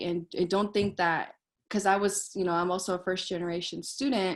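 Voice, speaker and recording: Against a quiet background, a woman with a plain, everyday voice talks at medium pitch with fairly even intonation. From Colorado. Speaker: motivational speaker, former program student. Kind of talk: welcome speech to students. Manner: casual, filler-heavy.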